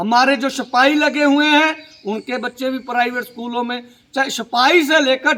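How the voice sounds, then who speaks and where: A man with a Punjabi accent speaks at an extremely high pitch for a man, his tone bright and sharp. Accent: Punjabi-accented Hindi. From Punjab, India. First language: Punjabi (speaking Hindi). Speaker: social media commentator. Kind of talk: political monologue to camera. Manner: halting, many fillers.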